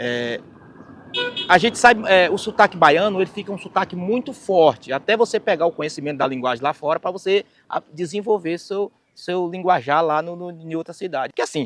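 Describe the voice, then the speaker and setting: High-pitched male speech at a fairly quick pace, lively in intonation, with a dry, close sound and no echo. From Bahia, Brazil (rural Rafael Jambeiro). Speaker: singer and keyboard musician. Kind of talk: documentary interview, life story. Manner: halting, with many repetitions.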